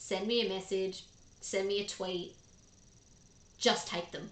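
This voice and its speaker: A woman in an Australian accent speaks at a medium pitch in a monotone, flat intonation, with audible room echo. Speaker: gaming streamer. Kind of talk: live stream chat. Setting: live stream. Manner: casual, chatty with fillers.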